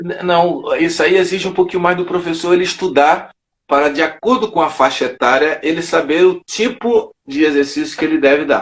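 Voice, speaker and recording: A man speaks at a high pitch with ordinary pitch variation and hardly any pauses. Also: moderate pace. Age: 60s. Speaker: judo master. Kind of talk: interview.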